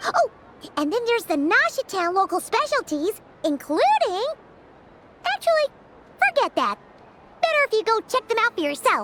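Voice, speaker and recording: An extremely high-pitched cartoonish character voice at a moderate pace, broken by long, frequent pauses. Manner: cheerful, energetic.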